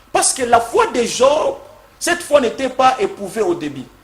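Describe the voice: Speaking at a moderate pace in a room with audible echo, a man uses an extremely high pitch with big swings up and down.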